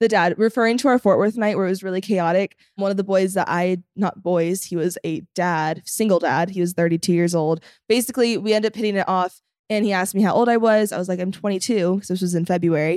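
At a medium pitch, a woman talks at a very fast pace with hardly any pauses. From US West Coast, Los Angeles suburbs. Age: 20s. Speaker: reality TV personality and social media creator. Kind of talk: casual chat.

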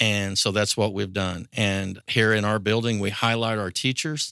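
A man's fairly low-pitched, bright, sharp voice with monotone, flat intonation at a moderate pace, in a very clean recording with a silent background and a dry, close sound with no echo. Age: 50s. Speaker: high school principal. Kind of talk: interview.

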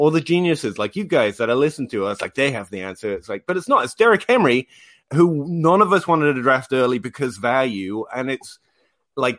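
Against a quiet background, a speaker with an English accent talks at a fairly quick pace with very wide pitch swings. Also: man. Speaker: fantasy football podcast host. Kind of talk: casual chat. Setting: video call. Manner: playful.

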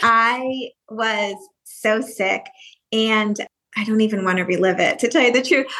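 Woman with an American accent, fairly high pitch and a bright, sharp tone, at a fairly slow pace with long, frequent pauses, ordinary pitch variation and very even loudness. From upstate New York. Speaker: model, actress and entrepreneur. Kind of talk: casual interview chat.

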